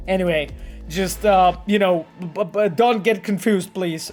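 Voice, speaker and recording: The speech comes at a fairly slow pace in a Polish accent. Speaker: game designer streaming gameplay. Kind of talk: casual live stream chat. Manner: animated; halting.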